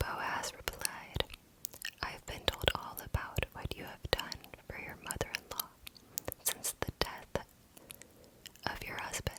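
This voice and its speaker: Whispering at a very slow pace, with long, frequent pauses. Noticeable background noise is present. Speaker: ASMR content creator. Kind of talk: Bible reading for sleep. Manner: slow, soft-spoken.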